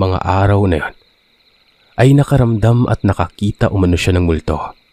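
An ordinary speaking voice from a man, fairly low in pitch, at a fairly quick pace with ordinary pitch variation. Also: dry, close sound with no echo. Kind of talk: horror story narration, first-person retelling of listener accounts.

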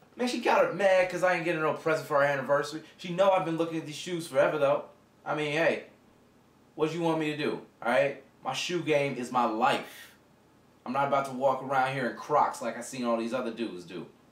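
A man speaks at a very fast pace with audible room echo. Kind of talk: acted phone conversation, casual slang. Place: home room. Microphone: camera far.

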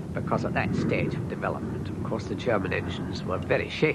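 A man speaks over noticeable background noise. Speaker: pilot or aviation expert. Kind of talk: archive interview recollection.

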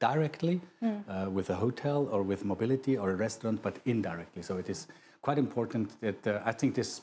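Very fast and lively in intonation, the speech comes through light background noise. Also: man. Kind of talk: interview answer. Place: studio. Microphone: lapel.

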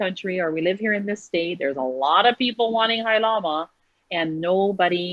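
The speaker has a Hawaiian accent and lively intonation at a moderate pace. The background is quiet and the sound dry with no echo. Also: woman. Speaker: clothing business owner; guest. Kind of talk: interview. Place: home room. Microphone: video call.

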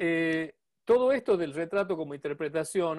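Against a quiet background, a man with an Argentine accent speaks at a fairly slow pace. His pitch is high, with ordinary variation. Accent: Argentine Spanish (Rioplatense). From Argentina. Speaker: podcast host and portrait painter; podcast host. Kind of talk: casual chat. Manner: halting. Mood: relaxed, friendly. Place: home room. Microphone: earbuds.

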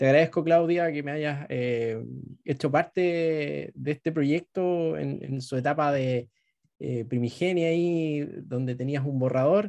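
A dark, mellow tone with a Chilean accent against a quiet background. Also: man, fairly high pitch for a man, ordinary pitch variation, fairly slow pace. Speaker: travel blogger and moderator; travel blogger, moderator. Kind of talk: moderated presentation. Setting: video call. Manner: halting with many fillers. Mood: friendly, smiling. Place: home room. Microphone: video call.

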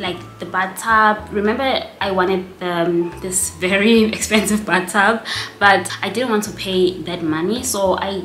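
A woman's fairly even delivery at a fairly slow pace, with audible room echo and music in the background. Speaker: vlogger. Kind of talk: casual vlog chat, Q&A answers. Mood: relaxed, chatty, laughs. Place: home room.

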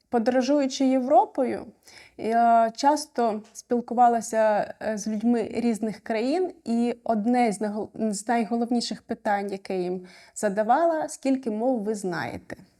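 Very slowly, a woman speaks with a fairly high pitch, ordinary pitch variation and a dark, mellow tone. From Ukraine. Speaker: refugee sharing experience. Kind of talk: personal testimony.

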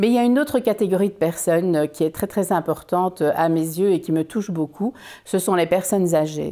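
A woman speaks at a fairly quick pace in a dark, mellow tone, with very even loudness, ordinary pitch variation and a quiet background. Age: 60s. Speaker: business owner presenting health products. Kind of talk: informative video talk. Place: home room.

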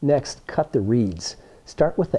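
A voice with a dark, mellow tone and lively intonation moves along at a fairly slow pace. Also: man. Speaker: science teacher demonstrator. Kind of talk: tutorial. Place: classroom. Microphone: phone near.

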